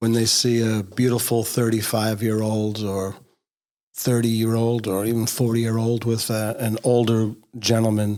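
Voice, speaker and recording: A man talks at a moderate pace in a medium pitch, his tone dark and mellow. His intonation stays flat and monotone on a very clean recording with a silent background. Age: 60s. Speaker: podcast co-host. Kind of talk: casual chat. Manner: hesitant, many fillers.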